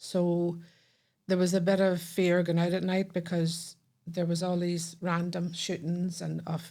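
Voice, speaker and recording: A woman in a Northern Irish accent speaks with a fairly low pitch, a dark, mellow tone and monotone, flat intonation. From Northern Ireland, Belfast. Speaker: podcast guest. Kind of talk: casual chat.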